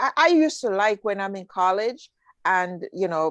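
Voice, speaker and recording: The sound is dry and close, with no echo. A woman speaks in a Jamaican accent. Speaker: talk show host. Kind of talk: casual interview chat.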